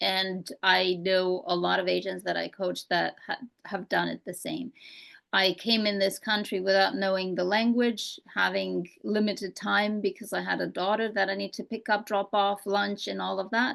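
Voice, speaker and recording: A woman's medium-pitched voice with a slight Romanian accent, fairly even intonation and a moderate pace. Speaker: real estate coach. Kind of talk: casual interview chat.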